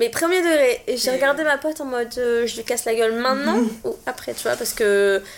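Hardly any pauses break up the fairly quick delivery, which has ordinary pitch variation. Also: woman, high pitch for a woman. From southern France (Montpellier). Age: 20s. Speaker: podcast guest. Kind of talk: casual chat.

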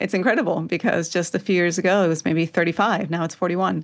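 Speaking at a fairly quick pace, a woman with a fairly low pitch and vocal fry comes through on a very clean recording with a silent background. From Spain, moved to Georgia US around age 11. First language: Spanish. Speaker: Spanish language professor. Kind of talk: interview.

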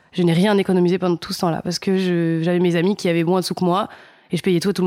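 This woman has a fairly low pitch. She speaks at a very fast pace. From France, Nice. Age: 20s. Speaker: start-up employee. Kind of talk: interview testimony. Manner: casual, hesitant with fillers.

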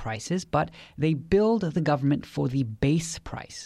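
The voice has a dark, mellow tone and lively intonation at a moderate pace. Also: man. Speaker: legal podcast co-host. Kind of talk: legal explainer.

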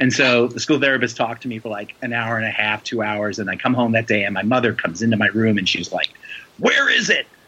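Talking at a very fast pace over noticeable background noise, a man with an American accent keeps his intonation fairly even. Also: medium pitch for a man. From New York City (the Bronx). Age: 40s. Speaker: comic book and TV writer. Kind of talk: casual interview.

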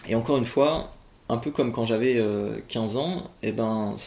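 A man's dark, mellow tone at a fairly slow pace. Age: 20s. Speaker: interviewee sharing eating disorder experience. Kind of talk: testimony.

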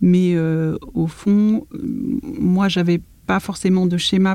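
A woman's fairly low voice with a dark, mellow tone and ordinary pitch variation. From Paris region, France. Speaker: architect. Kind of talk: interview.

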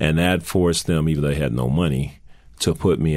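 This man has an American accent and a very deep, low pitch. His voice carries vocal fry and ordinary pitch variation. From US South, New Orleans. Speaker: corporate CEO. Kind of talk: interview.

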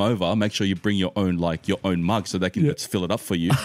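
A man with an Australian accent at a very fast pace, with ordinary pitch variation. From Australia, western Sydney. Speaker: podcast guest, sneaker collector. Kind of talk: casual chat.

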